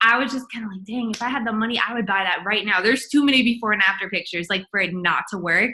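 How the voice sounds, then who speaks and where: A woman with an American accent, a fairly high pitch, ordinary pitch variation, and a bright, sharp tone. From US South, Charlotte, North Carolina. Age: 20s. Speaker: network marketing distributor. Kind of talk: testimony. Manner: casual, filler-heavy.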